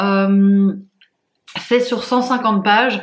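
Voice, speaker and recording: Somewhat breathy, a woman with a fairly high pitch speaks with ordinary pitch variation. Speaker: book vlogger. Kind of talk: casual vlog. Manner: hesitant, many fillers.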